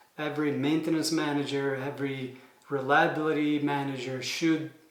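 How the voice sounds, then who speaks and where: A man at a fairly high pitch and moderate pace, with audible room echo and noticeable background noise. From Italy. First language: Italian. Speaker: manufacturing engineer and consultant. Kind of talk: explainer video. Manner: hesitant, many fillers.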